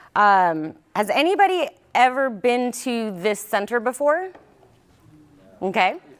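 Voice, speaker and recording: Loud and high-pitched, a woman speaks at a fairly slow pace with very wide pitch swings and long, frequent pauses. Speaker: county public safety director. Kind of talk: presentation.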